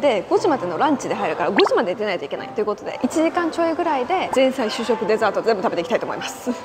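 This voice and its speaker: A woman races along at a very fast pace with hardly any pauses while noticeable background noise runs underneath. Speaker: travel vlogger. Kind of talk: casual vlog chat. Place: hall. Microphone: lapel.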